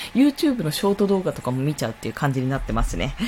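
A woman speaks with very wide pitch swings, noticeable background noise behind her. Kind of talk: solo live stream talk. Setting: live stream at home.

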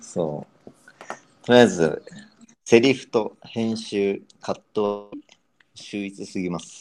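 A man with a fairly low pitch speaks very slowly, pausing long and often, his loudness swinging widely while his pitch varies in an ordinary way. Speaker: marketing and brand expert. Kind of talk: casual chat. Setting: live audio stream, remote collab.

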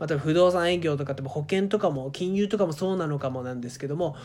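Speech comes at a fairly quick clip. The background is silent and the recording very clean. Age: 30s. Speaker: career podcaster. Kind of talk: solo monologue podcast. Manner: casual, filler-heavy.

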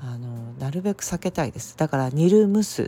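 The voice is somewhat breathy, with a dark, mellow tone and very wide pitch swings. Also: woman. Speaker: herbal medicine practitioner. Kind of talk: solo podcast talk. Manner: frequent fillers, unhurried.

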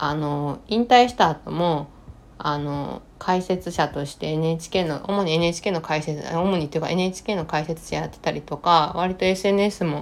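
In a Kansai accent, a woman with a fairly low pitch speaks with ordinary pitch variation. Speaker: podcast host. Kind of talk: solo podcast talk. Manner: languid.

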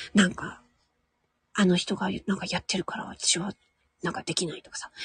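A woman's voice comes through somewhat breathy. The sound is dry and close, with no echo. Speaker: voice actor and audio streamer. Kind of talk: casual solo talk. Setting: at home in a room. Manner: quiet, low volume.

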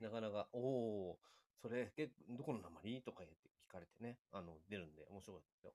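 A man speaks at a fairly quick pace in a fairly low, dark, mellow voice with ordinary pitch variation. His loudness swings a lot, and the sound is dry and close with no echo. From Japan, Chiba/Ibaraki border area. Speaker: live-stream guest. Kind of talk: casual chat.

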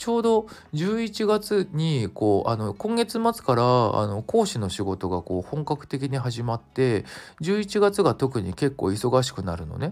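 In a relaxed tone, a man talks at a fairly slow pace and a medium pitch, with very wide pitch swings. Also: very clean recording, silent background. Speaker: singer-songwriter and music production instructor podcaster. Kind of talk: casual solo talk. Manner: relaxed, loose.

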